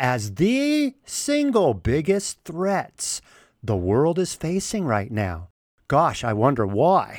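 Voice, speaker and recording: A man at a very slow pace with very wide pitch swings, on a very clean recording with a silent background. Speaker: political podcast host. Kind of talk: solo commentary monologue. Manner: animated.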